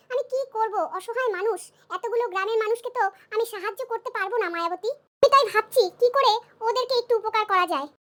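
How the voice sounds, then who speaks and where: A woman does a cartoonish character voice at an extremely high pitch, very fast, with ordinary pitch variation. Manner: earnest, emotional.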